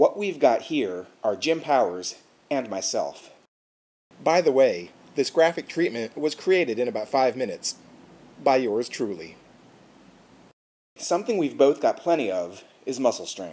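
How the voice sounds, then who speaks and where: A man with a dark, mellow tone and vocal fry speaks at a moderate pace, with very wide pitch swings and long, frequent pauses. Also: medium pitch for a man. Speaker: pro wrestler. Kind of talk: wrestling promo monologue to camera. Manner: smug, boastful, self-assured.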